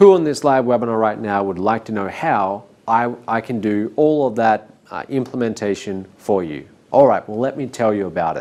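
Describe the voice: Fairly low-pitched male voice, slightly mellow, with lively intonation at a moderate pace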